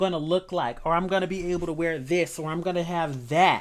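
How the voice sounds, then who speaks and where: Speaking fairly quickly in a normal speaking voice, a woman keeps her pitch fairly low. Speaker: tarot reader. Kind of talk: tarot reading. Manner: casual, conversational.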